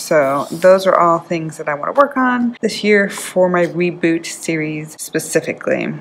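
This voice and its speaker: This is an ordinary speaking voice from a woman with a fairly low pitch. She talks at a moderate pace over light background noise. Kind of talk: casual vlog chat. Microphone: phone near.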